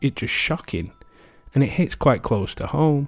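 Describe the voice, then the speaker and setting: The speaker has a British accent. The pitch swings very widely. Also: man. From England. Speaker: history podcast host. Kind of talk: casual reflective commentary; podcast narration.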